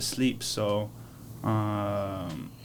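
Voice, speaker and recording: A medium-pitched man's voice in a French accent, with audible room echo. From France (Paris). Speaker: streetball league founder. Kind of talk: casual chat.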